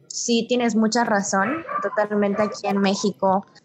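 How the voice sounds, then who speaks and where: Against noticeable background noise, a woman with a Yucatecan accent speaks at a fairly high pitch and a moderate pace. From Yucatán, Mexico. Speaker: podcast host, literature student. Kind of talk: casual chat.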